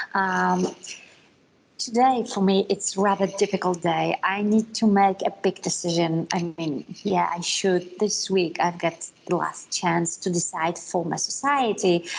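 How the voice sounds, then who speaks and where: A woman with a non-native accent talks at a medium pitch and a fairly slow pace, with ordinary pitch variation. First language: not English. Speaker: conference speaker on multilingual parenting. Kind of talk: conference talk. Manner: halting.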